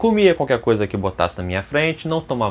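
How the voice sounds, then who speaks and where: Very wide pitch swings mark a man's speech, delivered at a very fast pace. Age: 30s. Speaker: fitness youtuber. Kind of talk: casual vlog. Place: home room. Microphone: lapel.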